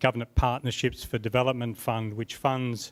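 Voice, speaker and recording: A man's voice in a monotone, with flat intonation. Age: 80s+. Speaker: program manager at an ombudsman office. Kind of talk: unprepared conference presentation. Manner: halting, many fillers.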